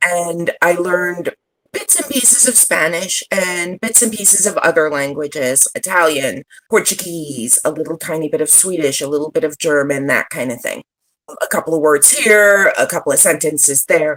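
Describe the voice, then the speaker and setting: This woman has an ordinary speaking voice with a fairly low pitch. Her intonation is lively and her pace moderate. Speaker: social media strategist and digital nomad. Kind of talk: podcast interview.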